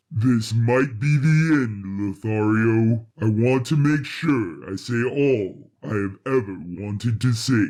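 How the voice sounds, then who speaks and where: Putting on a character voice, a man speaks at a medium pitch. His pace is fairly slow, with hardly any pauses. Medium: audio drama. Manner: formal, precise, no contractions.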